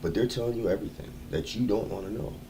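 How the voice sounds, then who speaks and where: Audible echo from the room follows this man as he talks at a fairly quick pace. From US East Coast. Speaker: livestreamer. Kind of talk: casual livestream monologue. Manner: animated.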